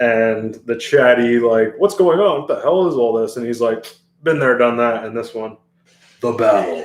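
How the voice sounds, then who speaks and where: Ordinary pitch variation around a medium pitch in a man's delivery. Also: moderate pace. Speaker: youtube movie reaction host. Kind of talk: trailer reaction commentary. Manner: casual, hesitant with fillers.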